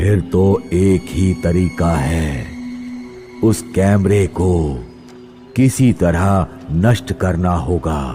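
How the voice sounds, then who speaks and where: Clear music plays in the background as a man in a cartoonish character voice speaks very slowly at a very deep, low pitch. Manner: grave, ominous.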